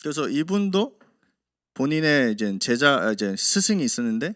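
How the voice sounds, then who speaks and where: A man with a non-native accent at a moderate pace, his pitch swinging very widely, on a very clean recording with a silent background. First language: not Korean (speaking Korean). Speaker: pastor. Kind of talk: sermon. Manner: halting.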